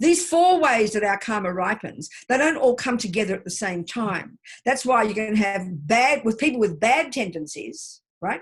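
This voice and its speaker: A woman speaks loudly at a fairly high pitch. Her pitch swings very widely. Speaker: Buddhist teacher. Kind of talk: teaching session. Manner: fast.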